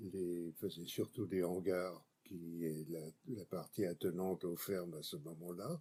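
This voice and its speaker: A man's very deep, low voice with a dark, mellow tone, a very slow pace and fairly even intonation. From France, Brie region (rural Île-de-France). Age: 80s+. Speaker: political writer and activist. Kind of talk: interview.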